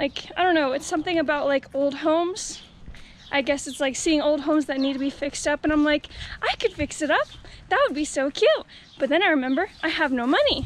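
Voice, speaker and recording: A woman's high voice at a fairly quick pace, with ordinary pitch variation and a dry sound with no echo. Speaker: vlogger. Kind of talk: casual vlog chat. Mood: playful, self-mocking. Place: street. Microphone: phone near.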